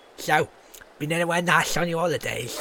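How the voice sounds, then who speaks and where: A man's high-pitched, put-on character voice at a fairly quick pace. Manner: chatty, casual small talk.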